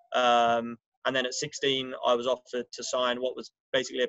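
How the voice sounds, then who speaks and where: A man talks with a London accent. His pace is moderate. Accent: English, London area. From England, just outside London. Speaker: finance professional, alumnus speaker. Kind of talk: informal talk to students. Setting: video call from a balcony. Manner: hesitant, many fillers.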